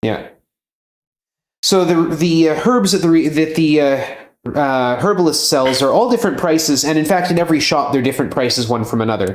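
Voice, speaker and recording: In a room with audible echo, a man with a fairly high pitch speaks at a fairly quick pace and a very even loudness. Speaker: speedrunner coaching the runner. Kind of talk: casual chat.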